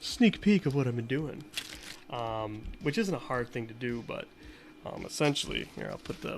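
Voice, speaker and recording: A man with an American accent and lively intonation, big swings in loudness, over noticeable background noise. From US, Boston area. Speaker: retro console modder, streamer. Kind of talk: casual live-stream chat while tinkering. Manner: casual, filler-heavy, repetitive.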